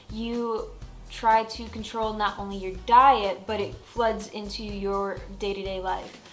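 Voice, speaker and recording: Over music in the background, the speaker talks at a fairly slow pace in a monotone, flat delivery with big swings in loudness. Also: woman, medium pitch for a woman. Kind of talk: casual talk to camera. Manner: casual, chatty.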